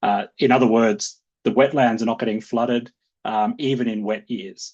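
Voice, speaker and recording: A medium-pitched man with an Australian accent and fairly even intonation. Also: moderate pace. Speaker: conservation organization director. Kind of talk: webinar presentation. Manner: many fillers and repetitions.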